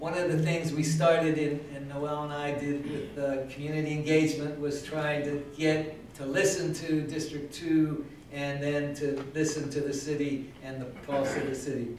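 With hardly any pauses, a man speaks at a moderate pace in a monotone, flat intonation, with light background noise and audible room echo. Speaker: city councilmember. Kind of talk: farewell speech at meeting. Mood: warm, reflective, lightly humorous. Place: meeting room.

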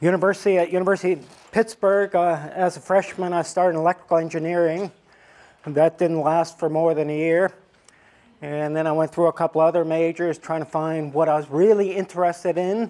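A man with a dark, mellow tone and a high pitch talks at a fairly quick pace with fairly even intonation. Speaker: professor giving a guest lecture. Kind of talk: lecture. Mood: warm, reminiscing. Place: hall. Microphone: lapel.

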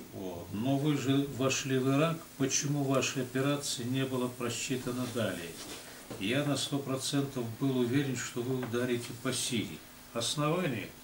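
A man speaks at a moderate pace with ordinary pitch variation. Light background noise and audible room echo are present. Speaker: public speaker. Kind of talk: casual discussion. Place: office.

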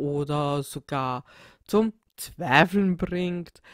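In a Viennese accent, a woman speaks at a fairly low pitch with ordinary pitch variation, the sound dry and close with no echo. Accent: Viennese Austrian German. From Austria, Vienna. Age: 30s. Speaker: podcaster. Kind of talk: solo podcast self-introduction. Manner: hesitant, many filler sounds.

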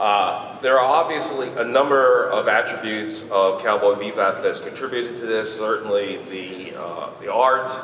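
The pace is fairly slow. There is light background noise and audible room echo. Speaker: audience member. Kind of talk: audience question. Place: hall.

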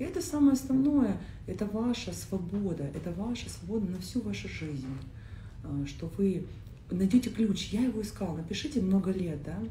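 A woman talks at a moderate pace with long, frequent pauses, with audible room echo and light background noise. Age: 30s. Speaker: coach. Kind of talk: casual chat. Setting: live stream. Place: home room.

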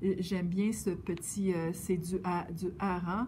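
A woman with a Quebec accent speaks in a dark, mellow tone that is somewhat breathy, with light background noise. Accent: Québécois French. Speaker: yarn shop knitting presenter; presenter. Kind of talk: casual presentation. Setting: yarn shop. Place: shop.

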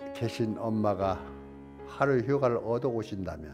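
A man at a very slow pace over faint music in the background. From Korea. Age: old. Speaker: elderly channel host. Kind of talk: poetry reading. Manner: emotional, choked up. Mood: emotional, choked up, tearful. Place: studio. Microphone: lapel.

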